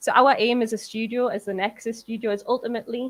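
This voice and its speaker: Here a woman speaks with a Geordie accent. Her intonation is monotone and flat. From northern England, Newcastle. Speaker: games industry producer. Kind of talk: conference talk. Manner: fast.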